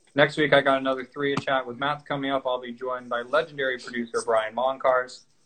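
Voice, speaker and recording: Speaking at a very fast pace, a man holds a medium pitch. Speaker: podcast host. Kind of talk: casual interview. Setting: video call.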